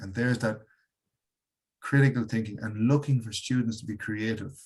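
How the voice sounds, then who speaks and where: With an Irish accent, a man talks at a moderate pace in a medium-pitched, somewhat breathy voice and fairly even intonation. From Ireland. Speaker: educator and workshop leader. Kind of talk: webinar presentation.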